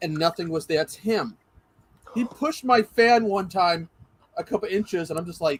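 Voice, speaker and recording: Recorded dry and close with no echo, a man with a high pitch speaks at a moderate pace, using ordinary pitch variation and long, frequent pauses. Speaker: podcast co-host, streamer. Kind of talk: podcast interview.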